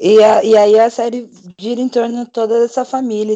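A man's voice at a fairly slow pace, with a dry, close sound and no echo. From Brazil, São Paulo city. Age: 20s. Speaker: podcast panelist. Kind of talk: casual chat.

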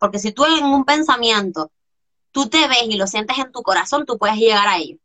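A woman's animated, fairly high-pitched voice with lively intonation. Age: 20s. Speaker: coach. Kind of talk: interview.

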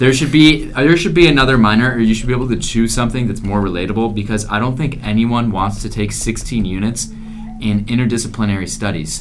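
Against noticeable background noise, a man of medium pitch talks at a very fast pace. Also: ordinary pitch variation. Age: young. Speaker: college student podcaster. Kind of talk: casual chat. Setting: dorm floor at night.

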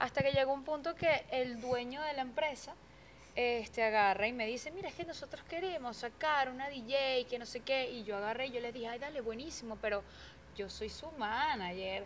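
Speaking at a moderate pace, a woman's voice sits high in pitch. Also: ordinary pitch variation. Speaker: DJ. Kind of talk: casual interview. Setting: radio studio.

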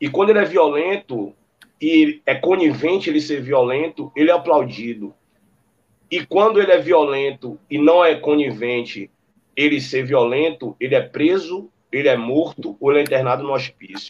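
A man's fairly high pitch, a normal speaking voice, moderate pace and ordinary pitch variation. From Brazil, Salvador (Bahia). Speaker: musician. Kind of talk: casual chat.

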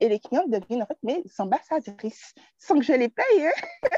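The voice moves through very wide pitch swings, with a dry, close sound and no echo. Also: woman. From Martinique. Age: 20s. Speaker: craft entrepreneur. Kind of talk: casual chat.

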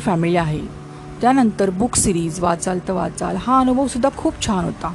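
A woman's lively intonation over noticeable background noise. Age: 50s. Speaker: career coach. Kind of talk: reading aloud.

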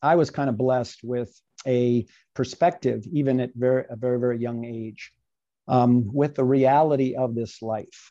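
Over a quiet background, a man with an American accent speaks at a moderate pace and medium pitch, his tone dark and mellow with ordinary pitch variation. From Virginia, US. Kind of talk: podcast interview, faith testimony. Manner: animated, conversational.

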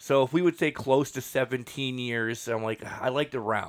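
In a very clean recording with a silent background, a man with a medium pitch speaks in an animated tone. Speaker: podcast host. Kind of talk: casual chat.

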